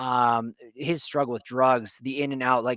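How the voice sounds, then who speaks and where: The man's medium-pitched voice has a bright, sharp tone and an animated delivery at a moderate pace. The sound is dry and close, with no echo. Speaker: podcaster and streamer. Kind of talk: casual chat.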